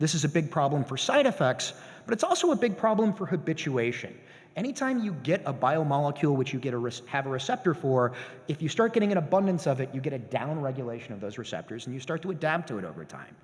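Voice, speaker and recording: Speaking at a very fast pace, a man uses a fairly high pitch. His voice is somewhat breathy. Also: lively intonation. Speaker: professor. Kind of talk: lecture.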